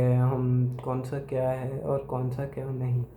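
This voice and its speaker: With a Gujarati accent, a man speaks at a medium pitch in a dark, mellow, somewhat breathy tone. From Gujarat, India. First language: Gujarati (speaking Hindi). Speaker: YouTuber. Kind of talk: opinion monologue. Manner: hesitant, with fillers.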